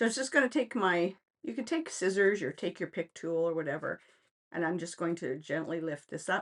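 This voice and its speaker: An ordinary speaking voice from a woman with a Canadian accent, fairly low in pitch, fairly quick and lively in intonation, over a quiet background. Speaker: craft demonstrator. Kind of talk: tutorial. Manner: casual, chatty.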